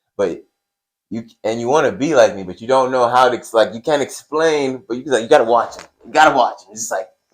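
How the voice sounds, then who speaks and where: An ordinary speaking voice from a man at a fairly quick pace. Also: medium pitch for a man, ordinary pitch variation, big swings in loudness. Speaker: wrestling podcast co-host. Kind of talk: casual chat.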